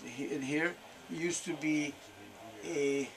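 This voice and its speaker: Noticeable background noise surrounds the speaker. He is a man talking at a fairly slow pace and a fairly high pitch. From Hungary. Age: 70s. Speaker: train shop owner. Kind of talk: interview. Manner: halting.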